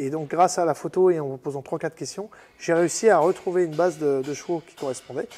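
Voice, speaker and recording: Music plays in the background. The speech moves at a very fast pace with ordinary pitch variation. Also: man. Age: 40s. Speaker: car restorer, garage owner. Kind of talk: casual interview on workshop tour. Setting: workshop. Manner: hesitant, many fillers.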